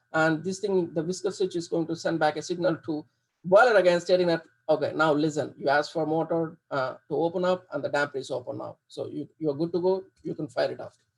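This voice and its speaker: The delivery comes at a fairly quick pace with fairly even intonation. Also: man, high pitch for a man. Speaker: HVAC engineer giving a guest lecture. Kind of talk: lecture. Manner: fast; halting, many repetitions and fillers.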